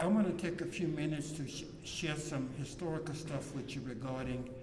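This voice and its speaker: A man with an American accent at a fairly quick pace, fairly even in intonation, with audible room echo and noticeable background noise. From South Louisiana (Iberville Parish). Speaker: environmental justice activist. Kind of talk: press conference speech.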